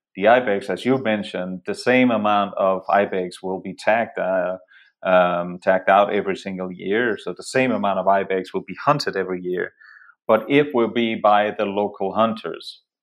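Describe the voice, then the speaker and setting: A man speaks at a moderate pace with a Danish accent. His pitch sits fairly low, and his intonation stays fairly even. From Denmark. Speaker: photographer and hunter. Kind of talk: casual interview conversation. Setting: remote call.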